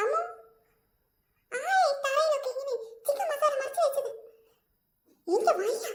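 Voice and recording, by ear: At a moderate pace, the speaker uses a cartoonish character voice with an extremely high pitch.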